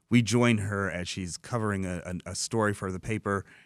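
Recorded very cleanly with a silent background and a dry, close sound with no echo, a man with a Michigan accent speaks at a moderate pace with fairly even intonation. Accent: Michigan American. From Dearborn, Michigan, US. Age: 40s. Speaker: comic book writer and novelist. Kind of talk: radio interview. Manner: halting, many fillers and repeats.

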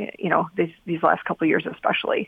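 The woman's voice sits at a fairly low pitch, and her intonation stays fairly even. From Windsor, Ontario, Canada. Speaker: radiology worker, new citizen. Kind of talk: radio interview. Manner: hesitant, many fillers.

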